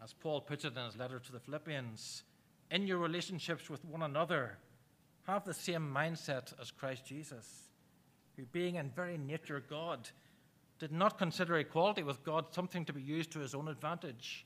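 A man with an Irish accent speaks at a fairly high pitch and a fairly quick pace, with ordinary pitch variation and big swings in loudness. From Ireland. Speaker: preacher. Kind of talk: sermon. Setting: church.

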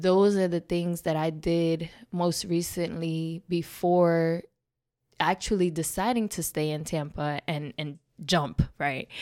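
A woman's fairly low voice in a New York accent, at a very slow pace with fairly even intonation, on a very clean recording with a silent background. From New York City (Bronx). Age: 20s. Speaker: podcast guest sharing life story. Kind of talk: casual interview, personal testimony.

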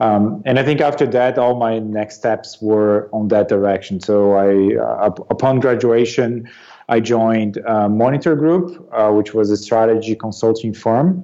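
The speaker has a Portuguese accent and a dark, mellow tone with ordinary pitch variation. The pace is fairly slow, with hardly any pauses. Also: man, medium pitch for a man. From Brazil, Sao Paulo region. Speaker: business executive. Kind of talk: interview.

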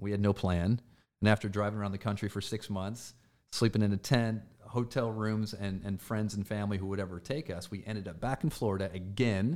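Over a silent background on a very clean recording, a man with a Midwestern US accent and fairly low pitch speaks at a fairly quick pace with fairly even intonation. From Michigan (Flint), US Midwest. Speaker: performance and team culture coach. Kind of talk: casual interview chat. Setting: office studio.

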